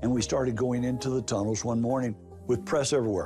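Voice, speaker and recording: Over music in the background, a man speaks at a medium pitch with very wide pitch swings. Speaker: private investigator. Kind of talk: interview answer.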